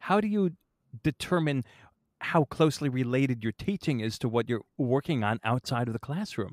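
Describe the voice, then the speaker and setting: Lively intonation runs through a man's normal speaking voice at medium pitch. The sound is dry and close, with no echo. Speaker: podcast host and musician. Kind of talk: interview.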